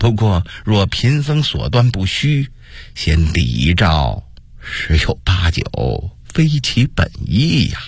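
A man speaks slowly in a put-on character voice. It sits at a low pitch with big pitch swings.

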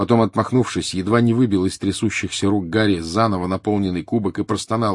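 The voice reads in an unforced way.

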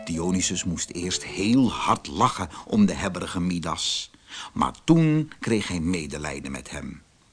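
A man speaks slowly in a low voice with a slightly husky edge. His pitch swings big, and his pace stays fairly slow.

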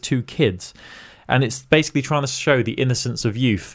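An animated man with a fairly high pitch comes through on a very clean recording with a silent background. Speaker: podcast host. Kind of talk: casual banter chat. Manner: joking, animated.

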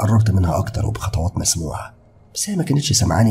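Lively intonation in an unforced reading voice

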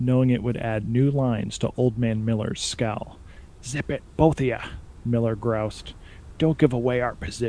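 Someone is reading aloud in a natural voice. The words come across as read from a text.

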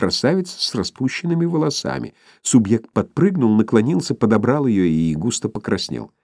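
This is an unforced reading voice. It is heard throughout.

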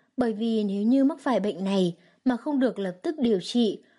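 Reading aloud in a natural voice, its pitch varying an ordinary amount

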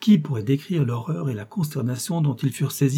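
The clip features an unforced reading voice.

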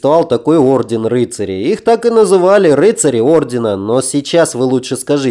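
This is a natural reading voice. The words are simply read out.

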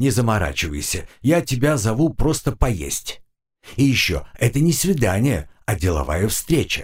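Quiet surroundings behind plain reading aloud

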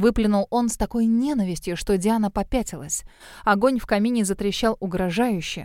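This is a natural reading voice. It is all the clip offers.

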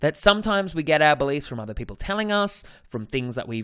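This man has an Australian accent and a fairly high pitch. His tone is energetic, and the recording is very clean with a silent background. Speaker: dating coach, podcast host. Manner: casual, energetic monologue.

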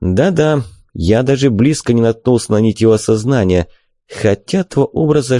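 An unforced voice reads while the background stays quiet.

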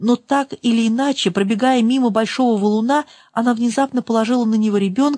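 Ordinary pitch variation marks this plain reading aloud.

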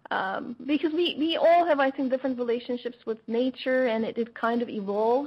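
A woman with a Turkish accent speaks at a high pitch and a fairly quick pace. Her pitch variation is ordinary, and there is noticeable background noise. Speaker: radio host. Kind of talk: interview. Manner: hesitant with fillers.

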